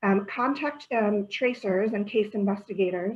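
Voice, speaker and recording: A woman's voice is somewhat breathy. Her intonation holds fairly even. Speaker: public health presenter. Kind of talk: informational presentation. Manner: fast.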